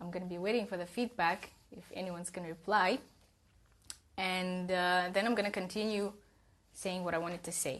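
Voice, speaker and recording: Delivered at a fairly quick pace with a Russian accent, the speech has fairly even intonation, big swings in loudness and long, frequent pauses. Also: woman, medium pitch for a woman. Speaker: self-development coach. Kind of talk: live stream talk. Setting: Instagram live stream.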